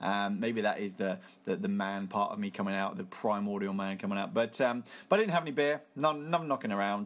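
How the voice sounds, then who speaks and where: An unremarkable speaking voice talks at a moderate pace with ordinary pitch variation. The background is quiet. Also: man. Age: 30s. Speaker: podcast host. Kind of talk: casual solo film review.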